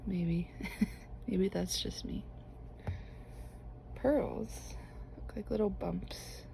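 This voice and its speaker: A soft-spoken, relaxed voice at a very slow pace, with long, frequent pauses. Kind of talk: ASMR knitting talk to camera.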